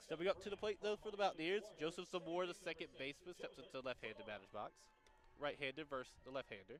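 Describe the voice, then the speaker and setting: A man with a high pitch, an animated tone and lively intonation, talking at a very fast pace. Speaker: college radio play-by-play announcer. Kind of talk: live commentary.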